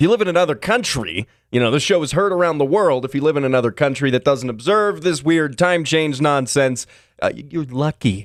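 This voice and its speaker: A man with an American accent, fairly high-pitched, fairly quick, with very wide pitch swings, on a very clean recording with a silent background. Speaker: radio show host. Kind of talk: casual show monologue. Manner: halting, many fillers.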